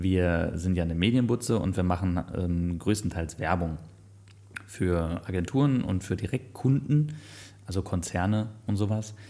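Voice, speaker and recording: Fairly slow pace, ordinary pitch variation and a dark, mellow tone. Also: man, very deep, low pitch for a man. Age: 30s. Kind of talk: casual chat.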